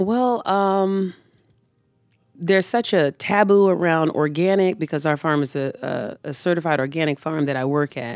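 Her normal speaking voice fairly low, a woman talks at a moderate pace with lively intonation in a very clean recording with a silent background. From Tampa, Florida. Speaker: urban community farmer. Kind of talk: interview.

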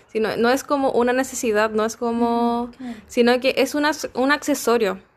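The recording is very clean, with a silent background. A woman speaks at a moderate pace and high pitch. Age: 20s. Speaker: sex shop owner. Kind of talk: casual chat. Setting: at a friend's home.

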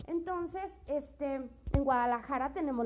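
A woman's high voice with very wide pitch swings over noticeable background noise. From Mexico, Tepatitlán de Morelos, Jalisco. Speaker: presenter explaining public art. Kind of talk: informal explanatory talk. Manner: casual with fillers and hesitations.

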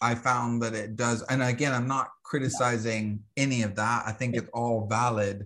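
Someone with an American accent and a normal speaking voice talks fairly slowly with fairly even intonation over a quiet background. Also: man. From US South, Alabama. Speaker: astrologer and herbalist. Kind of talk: interview conversation.

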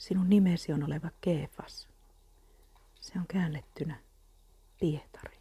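A soft-spoken, gentle voice at a very slow pace with long, frequent pauses. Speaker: Bible reader. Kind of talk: Bible reading aloud as calming ASMR, close to guided meditation. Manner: soft, gentle and slow, calming and unhurried; even, soothing, steady pacing with reverent tone.

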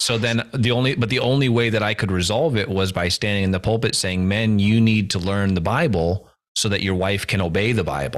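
A man with a plain, everyday voice, fairly low in pitch, fairly quick, with very even loudness and ordinary pitch variation. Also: hardly any pauses. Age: 40s. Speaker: podcast co-host, former pastor. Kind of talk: casual chat.

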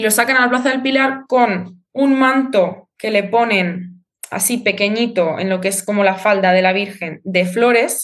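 A woman's plain, everyday voice at medium pitch, with ordinary pitch variation and hardly any pauses. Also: fairly slow pace. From Spain, Zaragoza (Aragón). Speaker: Spanish teacher. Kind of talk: interview.

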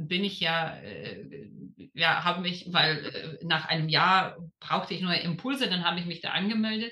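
Fairly slow speech from a woman, set against noticeable background noise. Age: 30s. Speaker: lawyer and former program participant. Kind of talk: interview. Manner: hesitant, many fillers.

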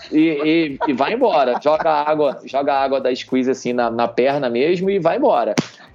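Music plays in the background as someone speaks with lively intonation. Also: man. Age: 40s. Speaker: army officer and amateur triathlete. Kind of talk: casual chat. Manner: animated.

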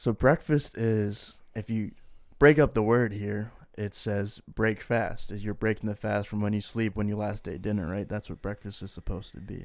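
At a moderate pace, a man speaks in an unremarkable speaking voice. His pitch is fairly low and his intonation fairly even. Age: 20s. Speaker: podcast co-host. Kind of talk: casual chat.

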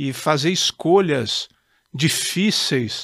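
This man's voice comes through dry and close with no echo, on a very clean recording with a silent background. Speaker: judge. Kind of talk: casual chat. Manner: formal.

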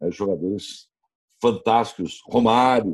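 Dry and close with no echo, a man's fairly low voice carries a dark, mellow tone at a fairly slow pace. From Brazil, Rio Grande do Sul (Novo Hamburgo). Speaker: radio sports commentator. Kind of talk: casual interview. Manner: animated.

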